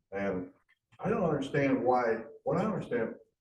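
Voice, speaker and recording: With audible room echo around him, a man talks at a moderate pace using ordinary pitch variation. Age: 60s. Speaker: audience member. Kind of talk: audience question.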